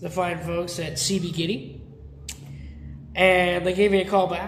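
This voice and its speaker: A man speaks loudly in a high pitch. Audible room echo surrounds his voice. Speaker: guitar builder and video host. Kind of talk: casual workshop show-and-tell.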